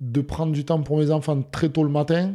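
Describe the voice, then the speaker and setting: A man speaks in a dark, mellow tone. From Hautes-Pyrénées, southwest France. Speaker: former rugby player, insurance broker. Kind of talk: interview. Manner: halting, many fillers and repetitions.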